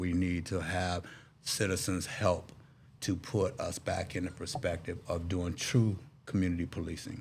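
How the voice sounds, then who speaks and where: A man with an American accent speaks at a moderate pace in a very deep, low, somewhat breathy voice. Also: ordinary pitch variation. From Texas, Dallas. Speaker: political candidate, navy veteran. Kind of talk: interview.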